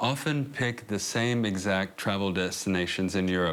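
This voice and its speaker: With an American accent, a man speaks at a fairly slow pace using ordinary pitch variation. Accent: American accent when speaking Polish. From US South, Arkansas. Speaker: immigrant and YouTuber in documentary. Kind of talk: documentary interview and casual narration.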